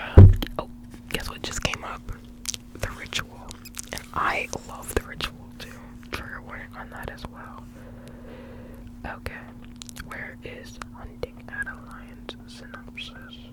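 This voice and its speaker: A woman whispers at a fairly slow pace with long, frequent pauses and big swings in loudness, over noticeable background noise. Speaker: ASMR content creator. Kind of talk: ASMR whisper ramble about her book collection. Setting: recorded at home on her bedroom floor. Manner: whispered, soft-spoken.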